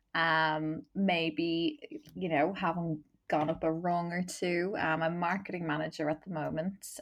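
A woman with a Dublin accent speaks at a fairly slow pace and fairly low pitch, her intonation monotone and flat and her loudness very even. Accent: Dublin Irish. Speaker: marketing manager and LGBT activist. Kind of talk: casual chat. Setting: video call.

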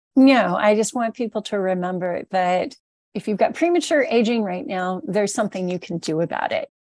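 In a plain, everyday voice with medium pitch and lively intonation, a woman speaks at a fairly quick pace, the sound dry and close with no echo against a quiet background. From Southern California. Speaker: supplement company founder. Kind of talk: interview.

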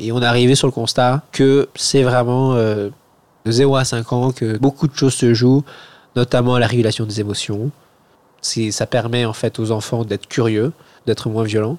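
The recording is very clean with a silent background. A man with a medium pitch talks fairly slowly in a monotone, flat way. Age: 30s. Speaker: infectious disease doctor and researcher. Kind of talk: casual chat. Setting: at a friend's home over a beer. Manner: halting, many hesitations.

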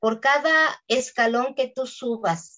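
A woman speaks with a Mexican accent. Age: 60s. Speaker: voice actress. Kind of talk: interview.

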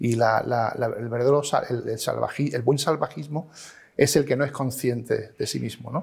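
A man talks at a moderate pace, captured on a very clean recording with a silent background. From Málaga, Andalusia, Spain. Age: 50s. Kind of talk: interview conversation. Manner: halting, many repetitions.

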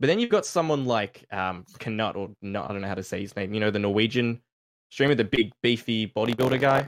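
A man with an Australian accent talks at a fairly quick pace and a medium pitch, with ordinary pitch variation. The sound is dry and close, with no echo. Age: 20s. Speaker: streamer. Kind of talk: casual panel discussion. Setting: live stream call.

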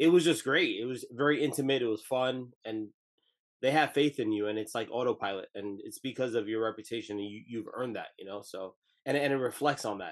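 Using a normal speaking voice, a man talks fairly quickly in an American accent at a medium pitch with ordinary pitch variation. His loudness swings widely. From New Jersey. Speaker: podcast co-host. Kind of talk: casual interview chat.

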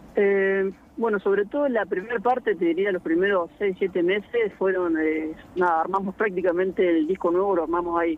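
A man with a high pitch talks at a moderate pace with fairly even intonation over noticeable background noise. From Argentina, Buenos Aires province (Orense). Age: 30s. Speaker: keyboardist and amateur basketball player. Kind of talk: radio interview.

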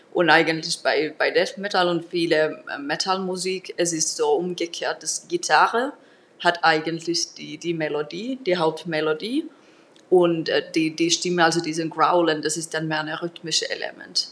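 A woman talks at a fairly slow pace with fairly even intonation. Her pitch is fairly low. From Finland, Turku. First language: Finnish (speaking German). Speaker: singing teacher and metal musician. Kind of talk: interview.

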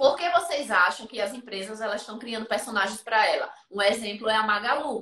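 Her voice is a plain, everyday voice, fairly high for a woman, moving at a fairly quick pace with hardly any pauses, ordinary pitch variation and big swings in loudness. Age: 20s. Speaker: photographer and photography teacher. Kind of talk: interview on live stream.

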